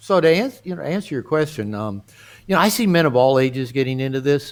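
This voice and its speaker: A man with an American accent speaks very fast with a fairly high pitch and lively intonation. The recording is very clean, with a silent background. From United States. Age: 60s. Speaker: therapist and author. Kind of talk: podcast interview.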